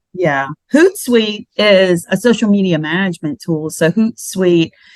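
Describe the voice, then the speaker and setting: A woman with an ordinary speaking voice talks at a fairly slow pace and medium pitch, with ordinary pitch variation. The sound is dry and close, with no echo. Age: 60s. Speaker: podcast co-host. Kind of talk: casual chat.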